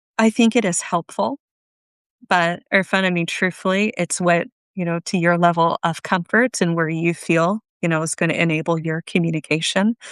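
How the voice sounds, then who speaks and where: A woman with an American accent, a normal speaking voice, fairly low pitch and ordinary pitch variation, recorded dry and close with no echo against a quiet background. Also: moderate pace. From Japan (childhood), then United States. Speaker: workplace skills coach. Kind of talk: interview. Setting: live video stream.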